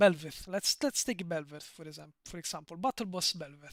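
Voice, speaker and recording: A man with a strong Italian accent and a high pitch speaks at a moderate pace. The recording is very clean, with a silent background. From Italy. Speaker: streamer. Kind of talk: live stream chat. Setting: live stream. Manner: halting, frequent repetitions and fillers.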